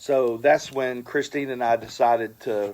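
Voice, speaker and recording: Here a man speaks with a medium pitch at a fairly slow pace. His intonation stays fairly even. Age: 60s. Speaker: dive shop owner and scuba instructor. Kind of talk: casual interview. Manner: hesitant, many fillers.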